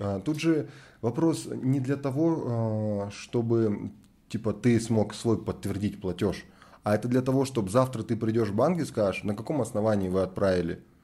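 A man speaks in a dark, mellow tone. His pace is moderate and his pitch variation ordinary. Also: very clean recording, silent background. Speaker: podcast host. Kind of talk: casual podcast conversation.

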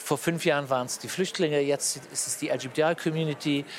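At a moderate pace and with fairly even intonation, a man talks over noticeable background noise. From Luxembourg. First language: Luxembourgish (speaking German). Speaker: politician. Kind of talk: interview. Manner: halting.

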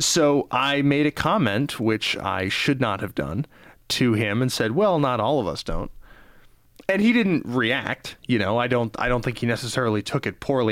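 In a normal speaking voice with lively intonation, someone talks at a moderate pace on a very clean recording with a silent background. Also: man. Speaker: broadcast journalism student. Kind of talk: casual chat. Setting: studio.

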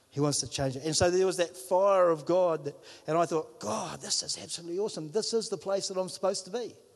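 A man with a New Zealand accent talks at a very fast pace in an animated tone, his pitch high and its variation ordinary, over a quiet background. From New Zealand, Whangarei. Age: 50s. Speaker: pastor. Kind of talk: sermon. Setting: church.

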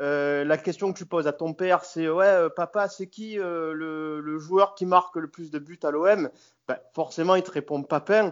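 At a fairly slow pace, a man speaks in a high pitch with big swings in loudness. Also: fairly even intonation. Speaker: football fan guest. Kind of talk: casual chat. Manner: halting.

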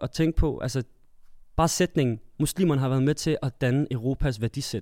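This man has an ordinary speaking voice, fairly high in pitch, at a moderate pace. The recording is very clean, with a silent background. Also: dry, close sound with no echo. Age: 20s. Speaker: theatre performer sharing personal story. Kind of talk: casual group discussion.

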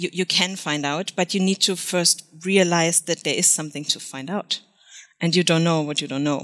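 A woman with a German accent, fairly low pitch, fairly even intonation and a moderate pace, on a very clean recording with a silent background and a dry, close sound with no echo. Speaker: freelance SEO consultant. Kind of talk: podcast interview.

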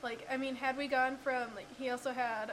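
A woman is speaking. She mumbles her words. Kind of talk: casual banter.

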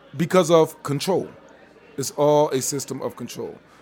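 A man's voice over noticeable background noise. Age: 30s. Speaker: teacher. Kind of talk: casual chat. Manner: animated.

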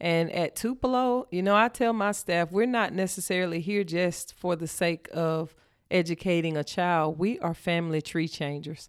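A woman with a Mississippi accent, fairly low-pitched, at a moderate pace with ordinary pitch variation, on a very clean recording with a silent background. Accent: Mississippi Southern. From US South, northeast Mississippi. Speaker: school principal. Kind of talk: interview.

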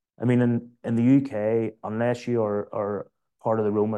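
A man with a Northern Irish accent, medium in pitch, with monotone, flat intonation. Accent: Northern Irish (Belfast). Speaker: former political advisor and councillor, businessman. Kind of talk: panel discussion.

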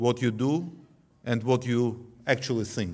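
A man speaks with an Armenian accent at a moderate pace. His pitch is medium. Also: very clean recording, silent background. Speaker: former defense minister. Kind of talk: tribute speech. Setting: banquet hall.

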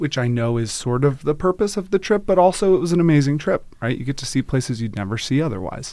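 An ordinary speaking voice with an American accent, lively intonation and a fairly quick pace. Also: man. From US South, North Carolina. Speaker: customer success manager. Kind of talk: casual chat. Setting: studio.

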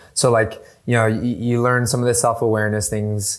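A man speaks with an American accent in monotone, flat intonation. The recording is very clean, with a silent background. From US West Coast, San Diego. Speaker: real estate tech professional. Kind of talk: casual interview chat.

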